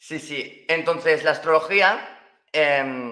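With a Valencian accent, a man speaks in a bright, sharp tone. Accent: Spanish from Spain (Valencian). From Spain, Valencia. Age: 20s. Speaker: astrologer. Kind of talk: casual interview. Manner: halting.

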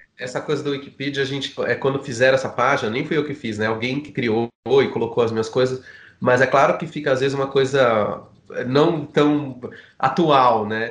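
This man has a plain, everyday voice at medium pitch. He keeps a moderate pace and fairly even intonation. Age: 40s. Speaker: filmmaker. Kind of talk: casual chat.

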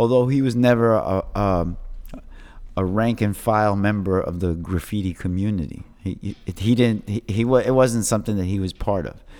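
A man with a New York accent speaks at a moderate pace and a fairly low pitch. His tone is dark and mellow, with ordinary pitch variation. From New York City, Lower East Side. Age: 50s. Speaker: graffiti artist. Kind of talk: casual interview chat. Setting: in person. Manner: halting, many repetitions.

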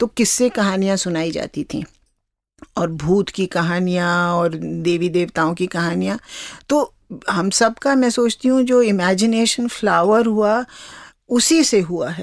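The woman's pitch lands in the middle of her range. She talks with lively intonation. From Kumaon, Uttarakhand (Nainital). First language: Kumaoni (speaking Hindi). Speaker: translator and author. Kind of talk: interview conversation.

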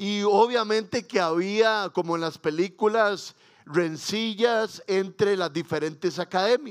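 At a very slow pace, a man talks with a high pitch and ordinary pitch variation. The recording is very clean, with a silent background. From Costa Rica. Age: 40s. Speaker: pastor. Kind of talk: sermon.

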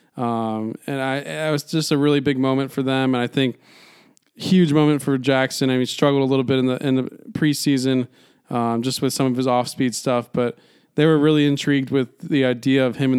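The speaker is a man with an ordinary speaking voice and a medium pitch. He talks at a fairly quick pace with fairly even intonation. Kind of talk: baseball analysis chat, recapping stats. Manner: measured, casual, stat-rich and matter-of-fact.

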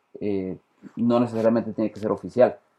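A man speaks in a dark, mellow tone. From Costa Rica. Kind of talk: casual discussion. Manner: hesitant, uses eh and este fillers.

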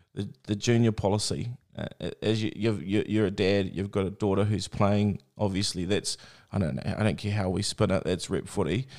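Recorded very cleanly against a silent background, a man with a New Zealand accent speaks at a moderate pace with a fairly low pitch, a dark, mellow tone and fairly even intonation. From New Zealand, Bay of Plenty. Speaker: podcast host. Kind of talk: casual interview.

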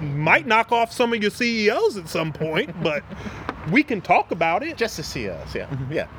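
A man with an American accent, high pitch, very wide pitch swings, and a moderate pace over noticeable background noise. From US South, Wilmington, North Carolina. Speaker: army veteran and divinity student. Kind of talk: casual conversation. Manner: halting with many repetitions.

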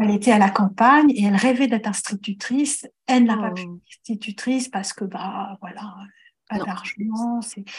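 A woman speaks at a moderate pace in a somewhat breathy voice, her loudness swinging widely while her pitch varies in an ordinary way. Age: 50s. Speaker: astrologer. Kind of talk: interview.

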